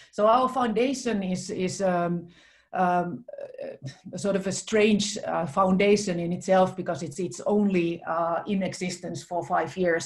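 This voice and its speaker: A somewhat breathy woman at a moderate pace, with ordinary pitch variation and a quiet background. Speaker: chief innovation officer. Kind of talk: presentation. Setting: video call. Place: home room. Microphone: video call.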